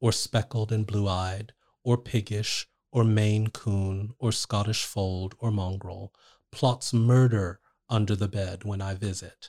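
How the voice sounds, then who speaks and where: A man with a New Jersey accent speaks at a very slow pace, his voice somewhat breathy. His intonation stays fairly even. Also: dry, close sound with no echo, very clean recording, silent background. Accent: American (New Jersey). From New Jersey, US. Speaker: poet. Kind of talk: poetry reading aloud; casual interview conversation.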